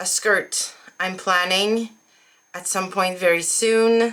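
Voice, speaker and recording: With a French accent, a woman speaks at a very slow pace in a bright, sharp tone with fairly even intonation. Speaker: sewing vlogger. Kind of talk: casual vlog chat.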